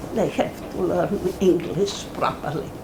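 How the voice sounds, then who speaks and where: With noticeable background noise and audible room echo, a woman speaks at a very slow pace. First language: German. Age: 80s+. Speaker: Holocaust survivor and author. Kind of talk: talk with Q&A to students. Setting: college classroom audience.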